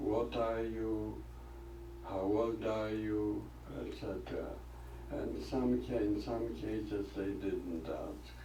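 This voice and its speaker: The man talks at a very slow pace, his words carrying audible room echo under noticeable background noise. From Poland (Lodz). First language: Polish or Yiddish. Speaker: Holocaust survivor. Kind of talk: testimony.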